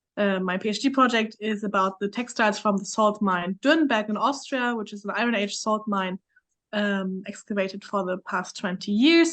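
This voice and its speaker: A woman with a German accent, moderate pace and ordinary pitch variation. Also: medium pitch for a woman. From Germany. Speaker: PhD student, archaeologist. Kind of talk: panel discussion.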